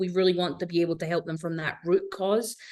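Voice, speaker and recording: A woman speaks very rapidly while clear background noise carries on behind her. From Scotland, Glasgow. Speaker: business owner, fractional executive consultant. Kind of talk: podcast interview.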